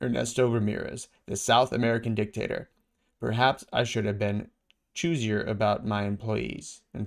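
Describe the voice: The voice is plain reading aloud with fairly even intonation against a quiet background.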